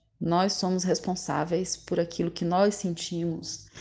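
Against a quiet background, a woman speaks at a moderate pace with a fairly low pitch, a dark, mellow tone and monotone, flat intonation. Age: 40s. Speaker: psychology student sharing lived experience. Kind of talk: interview testimony.

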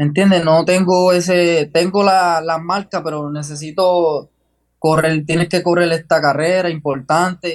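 At a fairly slow pace, a man talks at a high pitch in a monotone, flat intonation. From Puerto Rico, Jayuya. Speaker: long-distance runner. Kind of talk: interview. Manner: halting.

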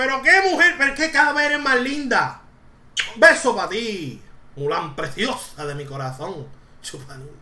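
Over noticeable background noise and audible room echo, a woman speaks in a high, raised, projected voice with an animated tone and a Puerto Rican accent. Her pace is fairly slow, and her loudness swings widely. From Puerto Rico. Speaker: podcast host. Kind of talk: casual chat.

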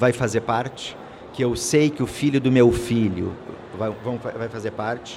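Audible room echo and noticeable background noise surround a man of medium pitch who speaks at a fairly slow pace. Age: 50s. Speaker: insurance executive. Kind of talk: interview. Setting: studio at a conference.

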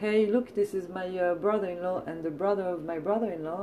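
A woman with a French accent speaks at a fairly quick pace in a medium pitch. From France. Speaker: podcast host and comedian. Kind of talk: casual chat. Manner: animated, chatty.

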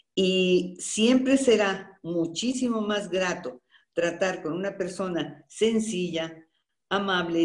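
Room echo is audible as a woman speaks at a medium pitch with ordinary pitch variation. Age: 70s. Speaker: voice actress. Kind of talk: interview. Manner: animated.

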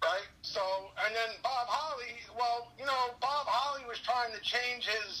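A man with an extremely high pitch and ordinary pitch variation raises and projects his voice over noticeable background noise. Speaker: guest, co-host and wrestling fan. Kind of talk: casual wrestling commentary, opinionated recap and analysis of the fights. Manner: animated, opinionated, jokey and sarcastic.

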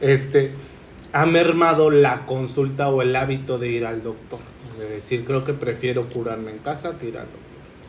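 A man speaks with big swings in loudness, audible room echo and noticeable background noise. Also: medium pitch for a man, fairly even intonation, moderate pace. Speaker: podcast host. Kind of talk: casual chat. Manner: halting.

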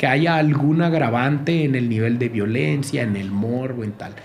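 A man's lively intonation amid audible room echo and noticeable background noise. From Sinaloa coast, Mexico. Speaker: journalist. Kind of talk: casual chat.

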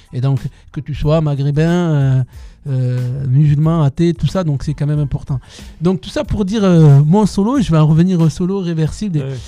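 With a dark, mellow tone, a man speaks at a fairly high pitch and a moderate pace. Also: ordinary pitch variation. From southwestern France, Tarbes. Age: 40s. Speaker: dancer. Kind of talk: interview. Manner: halting.

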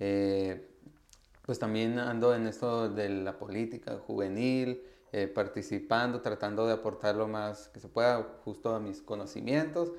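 Ordinary pitch variation marks the fairly slow-paced speech. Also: man, fairly low pitch for a man. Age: 20s. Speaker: university student and youth activist. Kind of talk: interview. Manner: hesitant, many fillers.

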